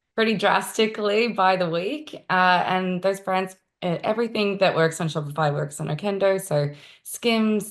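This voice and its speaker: A woman with an Australian accent speaks at a fairly slow pace, her fairly low voice moving with ordinary pitch variation, on a very clean recording with a silent background. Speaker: marketing executive. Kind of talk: interview.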